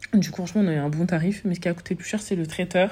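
A woman's dark, mellow, somewhat breathy voice at a very fast pace with fairly even intonation. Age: 20s. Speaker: podcaster and business owner. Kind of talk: casual chat.

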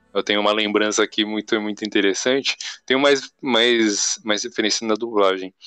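A man's voice sits fairly low, with a bright, sharp tone and fairly even intonation. He speaks at a moderate pace in a dry, close sound with no echo. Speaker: podcast host. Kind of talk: casual chat.

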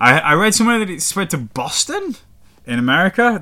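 A man talks with a northern English accent. His intonation is lively and his tone bright and sharp. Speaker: podcast host. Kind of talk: casual podcast storytelling. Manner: casual, swearing, chatty.

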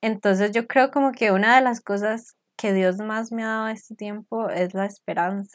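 In a quiet background, a woman with a fairly high pitch and an unremarkable speaking voice talks at a moderate pace with fairly even intonation. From Costa Rica. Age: 20s. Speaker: podcast co-host. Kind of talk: casual faith chat.

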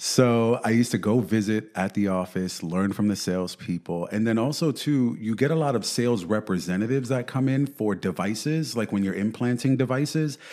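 With a New York accent, the speaker talks at a fairly quick pace with hardly any pauses, a dark, mellow tone and ordinary pitch variation. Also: man, medium pitch for a man. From New York City. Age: 30s. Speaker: real estate agent. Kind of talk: interview. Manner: animated.

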